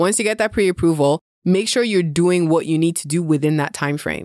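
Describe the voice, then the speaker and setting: Speaking at a fairly quick pace, a woman uses an ordinary speaking voice with fairly low pitch and ordinary pitch variation, recorded very clean with a silent background and a dry, close sound with no echo. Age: 30s. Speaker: real estate investor. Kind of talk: casual chat.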